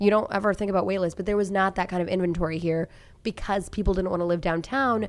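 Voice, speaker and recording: In a very clean recording with a silent background, a woman with an American accent speaks at a very fast pace, with medium pitch and fairly even intonation. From Tulsa, Oklahoma. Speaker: TV news journalist. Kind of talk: casual chat. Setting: studio.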